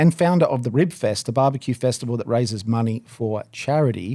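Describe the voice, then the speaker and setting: A man with an Australian accent speaks at a fairly quick pace in a dark, mellow tone. The recording is very clean with a silent background. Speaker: barbecue podcast co-host. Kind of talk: casual chat. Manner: mumbles words, mispronounces.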